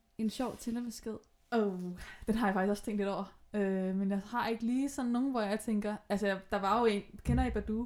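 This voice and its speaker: At a moderate pace, a woman speaks in an unremarkable speaking voice, fairly high in pitch, with fairly even intonation. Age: 20s. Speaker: podcast guest with bipolar disorder. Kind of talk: casual chat. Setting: at guest's home, sewing machine in background.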